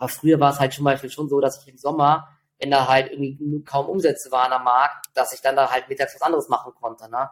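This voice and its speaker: Big swings in loudness run through a man's fairly high voice. His pace is very fast and his intonation is monotone and flat. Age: 40s. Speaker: trader. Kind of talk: interview.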